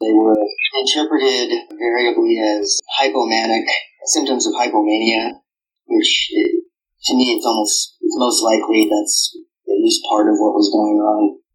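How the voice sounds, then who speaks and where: A man talks at a moderate pace with very even loudness. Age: 30s. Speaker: author. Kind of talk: casual chat.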